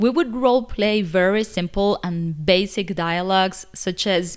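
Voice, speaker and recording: Speech with a Spanish accent at a fairly slow pace, with ordinary pitch variation, in a very clean recording with a silent background. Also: woman. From Cuba. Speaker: English teacher, video creator. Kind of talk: casual vlog talk to camera.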